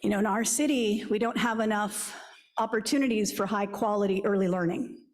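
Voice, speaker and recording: At a fairly quick pace, a woman with a fairly high voice speaks at very even loudness with ordinary pitch variation, and audible room echo surrounds her. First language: Spanish. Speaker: school district superintendent. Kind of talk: speech to civic club.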